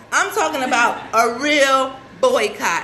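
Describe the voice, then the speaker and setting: A woman speaks in a raised, projected voice with an animated tone. Noticeable background noise and audible room echo surround her. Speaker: celebrity fashion stylist and show host. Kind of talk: casual live show talk.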